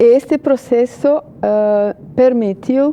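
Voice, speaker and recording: Amid noticeable background noise, a woman with a Portuguese accent talks at a very slow pace with ordinary pitch variation. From Brazil. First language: Portuguese (speaking Spanish). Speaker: journalist and political analyst. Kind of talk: TV interview. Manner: hesitant, many fillers.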